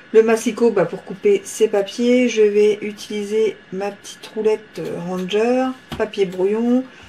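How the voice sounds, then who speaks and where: A very slow speaker with fairly even intonation and big swings in loudness, heard over noticeable background noise. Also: woman, fairly high pitch for a woman. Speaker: papercraft tutorial maker. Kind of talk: tutorial. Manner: hesitant, many fillers.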